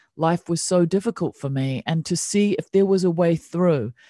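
A woman with a New Zealand accent speaks at a moderate pace. Her fairly low pitch carries a dark, mellow tone and ordinary pitch variation. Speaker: meditation teacher. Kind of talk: casual interview chat. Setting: video call.

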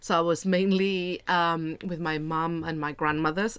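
A woman's very deep, low voice at a fairly slow pace, with fairly even intonation, on a very clean recording with a silent background. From Spain. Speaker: marketer. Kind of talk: casual chat.

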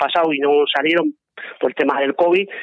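A high-pitched man talks at a moderate pace with fairly even intonation. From Aragón, Spain (Zaragoza). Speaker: mountaineer and photographer. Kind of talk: interview.

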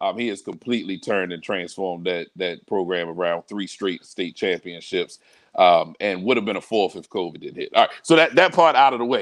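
With an American accent and a plain, everyday voice, a fairly low-pitched man talks at a fairly quick pace with lively intonation and big swings in loudness over a quiet background. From Baltimore, Maryland (Northeast Baltimore). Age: 30s. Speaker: pastor. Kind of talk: casual interview.

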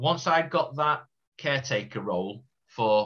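A man with a Yorkshire accent, a bright, sharp tone and ordinary pitch variation. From Yorkshire, Doncaster. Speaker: former footballer. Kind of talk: casual chat.

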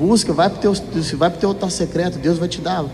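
Noticeable background noise accompanies this speaker. He is a man with a high pitch and ordinary pitch variation. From Minas Gerais, Brazil. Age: 30s. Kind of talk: testimony.

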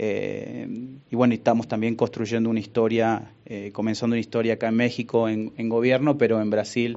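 Flat, monotone delivery from a man at a mid-range pitch. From Argentina, Buenos Aires. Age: 40s. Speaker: business executive. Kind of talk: interview.

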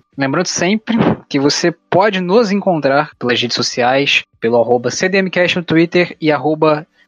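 Music plays in the background as a man talks. His pitch is high and his pace very slow. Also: very even loudness. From Rio de Janeiro, Brazil. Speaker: podcast host. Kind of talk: casual chat; scripted outro.

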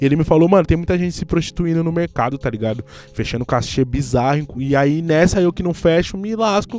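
This man has an unremarkable speaking voice pitched fairly high. He talks at a fairly quick pace with lively intonation. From Brazil, São Paulo periphery (Guarulhos). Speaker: journalist and content creator. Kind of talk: casual chat.

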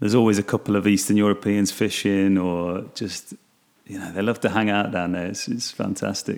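This man has an English Midlands accent and a fairly low pitch. He talks at a fairly quick pace in a monotone, flat intonation. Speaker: podcast host. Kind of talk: casual monologue. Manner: halting.

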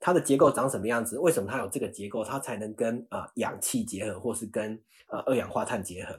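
Over a silent background in a very clean recording, a man talks at a moderate pace in a medium pitch, with lively intonation and a somewhat breathy quality. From Taiwan, Chiayi. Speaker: staff scientist at biotech startup. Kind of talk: interview.

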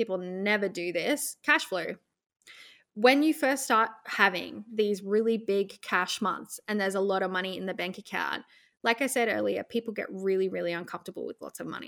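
A woman at a medium pitch talks with an Australian accent. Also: very clean recording, silent background. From central Australia. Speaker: e-commerce business consultant. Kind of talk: podcast interview.

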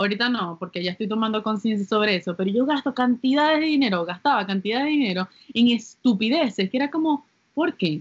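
In a plain, everyday voice, a woman talks at a fairly quick pace and a fairly high pitch. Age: 20s. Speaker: podcast co-host. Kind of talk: casual chat. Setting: home during quarantine.

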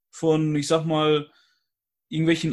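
The voice belongs to a man. It is pitched fairly high. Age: 20s. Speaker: guest, YouTuber. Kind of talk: casual chat. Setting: video call.

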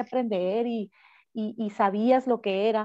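The woman's voice has a dark, mellow tone and a dry, close sound with no echo. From Mexico, Cananea, Sonora. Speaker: mayoral candidate, politician. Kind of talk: interview.

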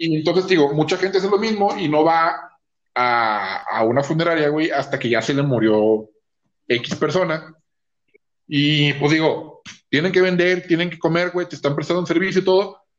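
Speaking at a moderate pace with a Mexican accent, a man uses a fairly high pitch that varies in an ordinary way. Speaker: podcast co-host. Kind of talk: casual chat.

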